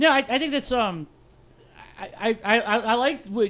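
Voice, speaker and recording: Here a man speaks with lively intonation. The background is quiet. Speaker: tabletop game podcaster. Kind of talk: casual chat.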